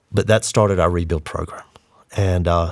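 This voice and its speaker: In a Southern US accent, a man speaks with a very deep, low pitch. The recording is very clean, with a silent background. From Eastern North Carolina. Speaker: disaster relief worker. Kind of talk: interview.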